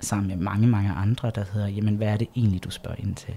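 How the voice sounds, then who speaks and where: Fairly even in intonation, a man talks at a fairly low pitch. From Jutland, Denmark. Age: 30s. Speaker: LGBT organisation project leader. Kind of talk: interview. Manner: hesitant with frequent fillers.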